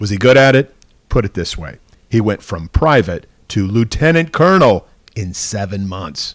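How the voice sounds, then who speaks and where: With an unremarkable speaking voice, a man of fairly low pitch talks at a moderate pace, his intonation lively and his loudness swinging widely. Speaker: TV news reporter. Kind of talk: TV news feature narration.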